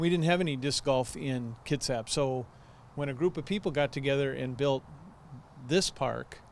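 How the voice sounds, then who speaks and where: A man's fairly high-pitched voice with ordinary pitch variation, an ordinary speaking voice. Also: moderate pace. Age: 60s. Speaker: amateur disc golf champion. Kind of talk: TV interview.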